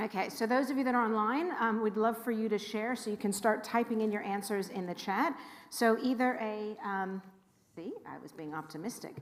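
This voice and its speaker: Heard with audible room echo, the voice has an American accent, a moderate pace and ordinary pitch variation. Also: woman. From California, Los Angeles. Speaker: rabbi. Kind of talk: info session talk to congregation. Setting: room with live audience and livestream. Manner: animated.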